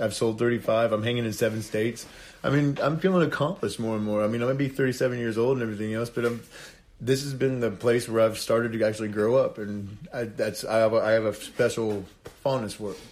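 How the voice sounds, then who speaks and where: A man with an American accent talking at a very fast pace, medium in pitch, with fairly even intonation. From Indiana. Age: 30s. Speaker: reality TV cast member and painter. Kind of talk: casual chat. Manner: halting.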